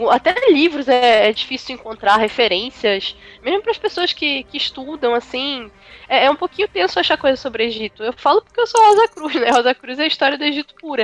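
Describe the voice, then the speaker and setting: Fairly quick, high-pitched speech from a woman with very wide pitch swings, dry and close with no echo, over music in the background. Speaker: podcast panelist, university student. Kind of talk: casual chat.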